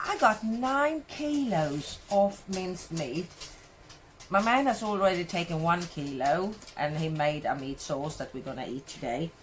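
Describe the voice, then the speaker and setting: In a Swedish accent, a woman talks at a fairly slow pace, her fairly low voice somewhat breathy. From Sweden. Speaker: cooking vlogger. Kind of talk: casual vlog tutorial.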